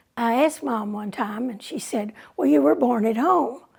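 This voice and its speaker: With a Texan accent, a woman talks fairly slowly in a fairly high voice with a dark, mellow tone. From Texas, San Angelo. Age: 80s+. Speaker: oral history narrator. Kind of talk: oral history storytelling.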